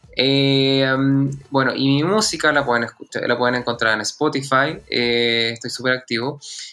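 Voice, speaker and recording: At a fairly slow pace, a man with a Chilean accent speaks at a medium pitch with fairly even intonation, over noticeable background noise. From Chile, Santiago (born in the south, moved at 6-7). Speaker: singer and actor. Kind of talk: interview.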